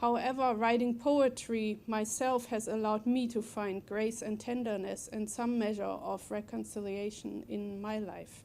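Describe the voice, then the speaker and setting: Fairly high in pitch, a woman talks at a fairly slow pace with hardly any pauses. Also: fairly even intonation. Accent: German. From Germany. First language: German. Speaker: poet. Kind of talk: prepared speech at a book talk. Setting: library event with audience.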